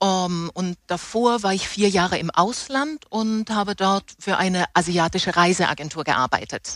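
On a very clean recording with a silent background, a woman uses a plain, everyday voice at medium pitch with ordinary pitch variation, speaking at a fairly slow pace with hardly any pauses. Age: 50s. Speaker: theatre props master, former travel agency worker. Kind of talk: interview, personal testimony.

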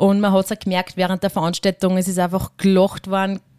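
Recorded very cleanly against a silent background, a woman at a medium pitch speaks at a fairly quick pace, the sound dry and close with no echo. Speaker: rural youth club leader. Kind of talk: interview. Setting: historic railway carriage.

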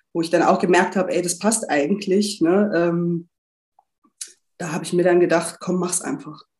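A woman talks in a normal speaking voice at a moderate pace. Her pitch is medium and her intonation fairly even. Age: 30s. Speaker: coaching client, HR department head. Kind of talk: interview testimony.

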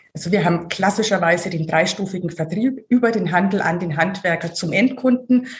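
Speaking at a fairly quick pace with hardly any pauses, a woman in a Franconian accent sounds somewhat breathy, with medium pitch and ordinary pitch variation. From Franconia, Germany (Hof). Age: 40s. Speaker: marketing director. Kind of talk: interview.

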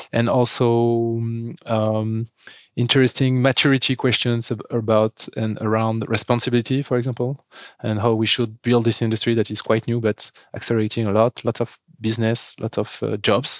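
In a French accent, a man of medium pitch speaks at a moderate pace with monotone, flat intonation, on a very clean recording with a silent background and a dry, close sound with no echo. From France. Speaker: company founder and CEO. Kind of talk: interview. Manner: hesitant, many fillers.

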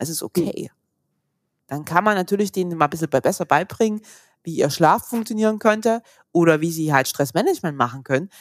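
The speaker's fairly quick delivery, with lively intonation, is broken by long, frequent pauses on a very clean recording with a silent background. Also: woman, fairly low pitch for a woman, dry, close sound with no echo. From Saxony, eastern Germany. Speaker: physiotherapist. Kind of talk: interview.

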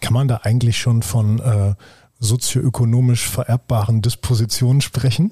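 A man's dark, mellow tone, somewhat breathy, with fairly even intonation and a dry, close sound free of echo. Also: medium pitch for a man, moderate pace, very even loudness. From Germany. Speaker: podcast host. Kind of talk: interview. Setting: office at a university.

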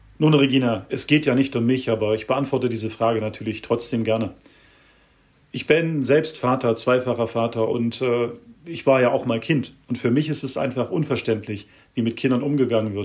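A man's plain, everyday voice, medium in pitch, with fairly even intonation and a moderate pace. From Germany. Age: 40s. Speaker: mediator and activist. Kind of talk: interview.

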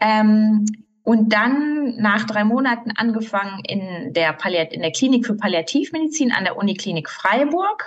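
A woman speaks at a fairly slow pace in a somewhat breathy, fairly high voice with lively intonation. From Germany, Ruhr area. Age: 30s. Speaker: physician. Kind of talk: interview. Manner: hesitant, many fillers.

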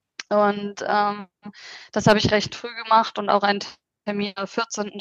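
The sound is dry and close with no echo. A woman speaks at a moderate pace in a fairly high voice. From Hanover region, northern Germany. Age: 30s. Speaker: interview guest sharing pregnancy loss experience. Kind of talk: personal testimony. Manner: hesitant, with many fillers.

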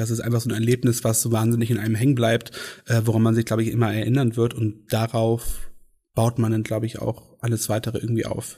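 The speaker talks at a fairly quick pace in a monotone, flat delivery, with a somewhat breathy quality. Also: man. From Schleswig-Holstein, northern Germany. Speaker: pride event organizer. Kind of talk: casual interview.

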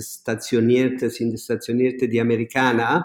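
A man speaks with an Italian accent. His pitch is medium. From southern Italy, near Naples. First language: Italian (speaking German). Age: 60s. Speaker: restaurateur. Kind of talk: interview. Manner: halting, many repetitions.

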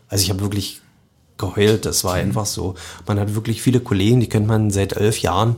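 Somewhat breathy, a man speaks at a fairly low pitch. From Lusatia, Brandenburg (Sorbian-Wendish area near Cottbus). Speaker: chef and soup restaurant owner. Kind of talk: casual interview. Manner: hesitant, many fillers.

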